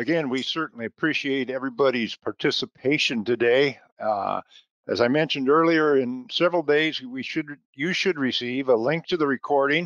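In an ordinary speaking voice, a man talks at a fairly quick pace with a fairly high pitch and ordinary pitch variation, recorded with a dry, close sound with no echo against a quiet background. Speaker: research center staff and webinar moderator. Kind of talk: webinar moderation. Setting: video call.

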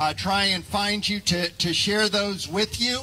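A man uses a raised, projected voice over light background noise. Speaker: pastor leading worship. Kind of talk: welcome and announcements. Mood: warm, friendly. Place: open country. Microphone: headset.

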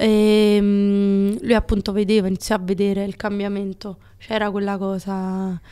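A woman at a fairly slow pace against a quiet background. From Naples, Italy; Italy. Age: 20s. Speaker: TikTok creator and shop owner; TikTok creator. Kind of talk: casual podcast interview. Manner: animated. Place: studio. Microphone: studio mic.

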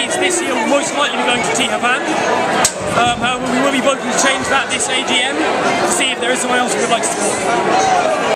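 A man talks at a very fast pace with ordinary pitch variation while music plays in the background. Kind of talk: interview answer. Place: hall. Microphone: phone near.

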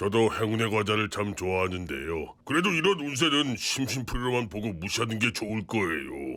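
Doing a cartoonish character voice at medium pitch, a man talks at a fairly quick pace with hardly any pauses. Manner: polite, reasonable.

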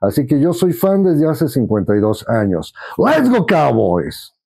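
Speaking at a very slow pace, a man with a fairly high pitch and a dark, mellow tone makes very wide pitch swings. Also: quiet background. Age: 50s. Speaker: sports fan and collector. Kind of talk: casual testimony. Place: home room. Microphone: lapel.

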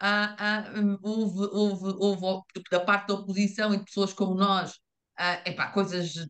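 Very slow and monotone, with very even loudness, the speaker uses a European Portuguese accent against a quiet background. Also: woman. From Portugal. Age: middle-aged. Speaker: invited expert speaker. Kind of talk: presentation with slides. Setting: video call. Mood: engaged, argumentative. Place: home room. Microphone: video call.

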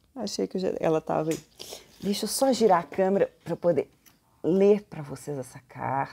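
With vocal fry and a dark, mellow tone, a woman speaks at a moderate pace and fairly low pitch, her pitch swinging very widely. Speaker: video blogger and professor. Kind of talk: family storytelling, reverent tribute, reading aloud a eulogy. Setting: indoors at home in a hallway. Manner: warm, affectionate, measured, solemn when reading the old speech. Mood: solemn, tender.

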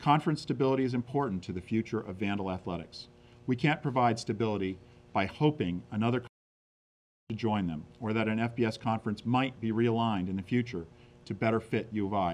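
Speaking fairly quickly, a man shows ordinary pitch variation. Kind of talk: prepared statement. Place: meeting room. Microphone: podium.

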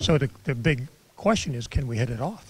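A man's lively, somewhat breathy voice at a moderate pace, dry with no echo. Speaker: former presidential candidate and entrepreneur. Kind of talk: interview. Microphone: handheld.

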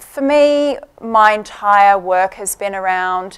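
A woman's voice comes through with a quiet background behind it. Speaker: conference speaker. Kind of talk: conference talk. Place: hall. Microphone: podium.

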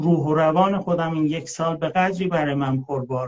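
Against a quiet background, a man speaks in a somewhat breathy voice. His pitch is fairly high with ordinary variation. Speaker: live stream host. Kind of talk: casual chat. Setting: live video stream. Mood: reflective, calm personal story. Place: home room. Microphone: phone near.

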